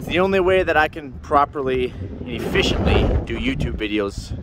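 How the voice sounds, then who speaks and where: Over noticeable background noise, a man talks in a dry sound with no echo. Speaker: farmer vlogger. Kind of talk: casual vlog chat. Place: farm machine. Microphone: phone near.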